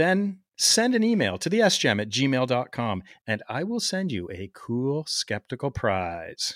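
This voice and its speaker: A man with a plain, everyday voice at a medium pitch, lively intonation and a fairly slow pace, on a very clean recording with a silent background. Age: 50s. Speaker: podcast host, emergency physician. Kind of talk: scripted narration; casual interview.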